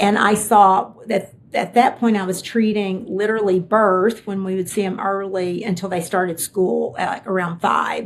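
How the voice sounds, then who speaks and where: With hardly any pauses, a woman with a Kentucky accent talks at a moderate pace in a fairly even intonation. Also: medium pitch for a woman. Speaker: tech executive. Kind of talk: interview conversation.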